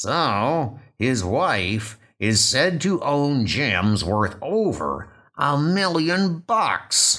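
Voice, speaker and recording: Someone performs a put-on character voice at a very slow pace. There are hardly any pauses. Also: man, fairly high pitch for a man. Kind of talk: comic book dub, dramatic reading.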